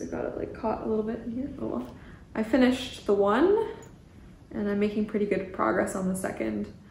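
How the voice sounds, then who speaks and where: With a Canadian accent, a woman talks at a moderate pace. Audible room echo and light background noise surround her voice. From Canada. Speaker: knitting podcaster. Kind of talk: casual monologue. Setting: cabin by the ocean. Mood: cheerful, relaxed. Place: home room.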